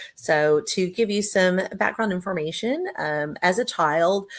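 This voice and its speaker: With an American accent, a woman talks at a fairly slow pace. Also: very clean recording, silent background. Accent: Texas accent, slips in occasionally. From Texas. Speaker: business owner. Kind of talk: interview testimony. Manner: hesitant, many fillers.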